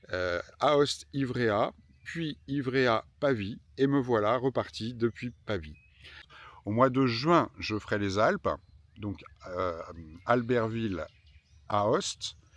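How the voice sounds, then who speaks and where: At a very slow pace, a man with a medium pitch speaks with lively intonation and long, frequent pauses. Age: 50s. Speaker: pilgrim travel vlogger. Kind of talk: travel vlog narration. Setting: outdoors. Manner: hesitant fillers.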